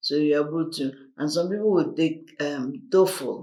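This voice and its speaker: A man with a Nigerian accent speaks very slowly at a fairly high pitch, with audible room echo. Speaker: diaspora interviewee. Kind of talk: casual chat.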